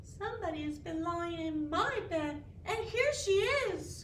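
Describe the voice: A woman speaks slowly in a put-on character voice over clear background noise.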